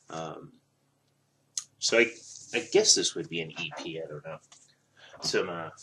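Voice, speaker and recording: A man talks at a moderate pace with long, frequent pauses. His loudness swings widely. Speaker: vinyl record collector vlogger. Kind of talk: casual chat. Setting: at home, early morning. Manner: hesitant, many fillers.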